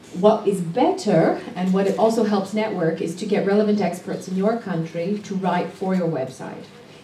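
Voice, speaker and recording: With a Canadian accent, a woman speaks at a medium pitch and a moderate pace, her intonation fairly even and hardly any pauses, over noticeable background noise. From Canada. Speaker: parenting activist and conference speaker. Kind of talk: conference talk. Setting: stage with audience.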